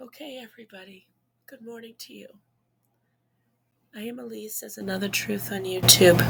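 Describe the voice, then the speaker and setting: Pausing long and often, a woman talks at a moderate pace with very wide pitch swings. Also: medium pitch for a woman, big swings in loudness. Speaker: YouTube commentator. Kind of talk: commentary monologue.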